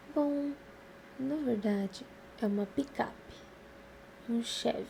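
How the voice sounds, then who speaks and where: Extremely unhurried delivery, normal rise and fall in pitch, and clearly audible noise behind it. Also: woman. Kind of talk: novel reading.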